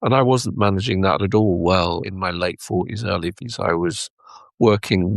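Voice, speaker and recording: In a London accent, a man talks at a very deep, low pitch with ordinary variation, the sound dry and close with no echo. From England, London. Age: 60s. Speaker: record label owner and musician. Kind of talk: interview conversation. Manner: halting, repeats words.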